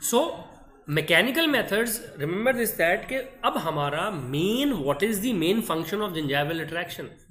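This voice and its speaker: A man's high-pitched voice with very wide pitch swings, audible room echo and music in the background. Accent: Indian. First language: Hindi. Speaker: dental lecturer. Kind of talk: online lecture. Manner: slow; code-switching Hindi-English.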